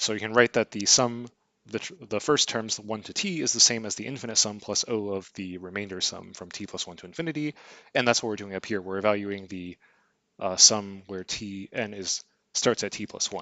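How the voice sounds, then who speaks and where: An ordinary speaking voice from a man, fairly low in pitch with ordinary pitch variation, at a fairly quick pace with big swings in loudness. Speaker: math lecturer. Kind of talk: lecture. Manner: casual, with fillers and false starts.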